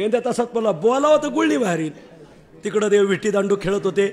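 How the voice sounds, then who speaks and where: The man's intonation rises and falls in a lively way, with noticeable noise behind him. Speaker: kirtan preacher. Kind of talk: kirtan sermon with storytelling.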